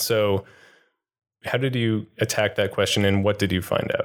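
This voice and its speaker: A man with a plain, everyday voice speaks at a fairly low pitch and a fairly slow pace, in a very clean recording with a silent background. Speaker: co-host, interviewer. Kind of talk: casual interview.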